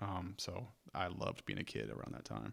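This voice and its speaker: Vocal fry runs through this voice as it proceeds at a moderate pace. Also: man. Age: 40s. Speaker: podcast co-host. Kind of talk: casual chat. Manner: halting.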